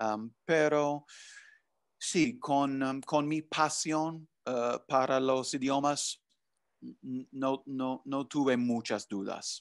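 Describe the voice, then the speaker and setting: Very slow speech in an English accent, with fairly even intonation and a quiet background. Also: man. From US Northeast, New Jersey. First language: English (speaking Spanish). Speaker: language professor. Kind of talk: interview. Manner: halting, many fillers. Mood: friendly, relaxed. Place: home room. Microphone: video call.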